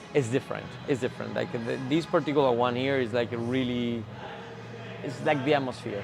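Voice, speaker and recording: Music plays in the background as a man with a Spanish accent talks at a fairly quick pace, his medium-pitched voice fairly even in intonation. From Spain. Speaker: gym member. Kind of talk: interview. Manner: halting, many restarts.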